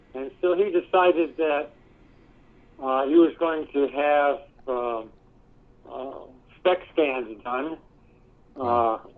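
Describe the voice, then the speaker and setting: Very slow speech from a man with a fairly high pitch and an American accent, ordinary pitch variation, and long, frequent pauses. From US West Coast. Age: 70s. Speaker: research company president, engineer. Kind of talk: interview. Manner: halting, many fillers.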